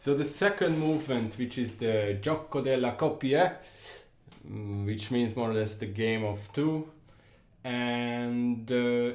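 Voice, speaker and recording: A man speaks fairly slowly. His medium pitch moves in an ordinary way. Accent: Hungarian. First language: Hungarian. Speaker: music commentator. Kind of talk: music analysis talk. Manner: halting, with fillers and repetitions.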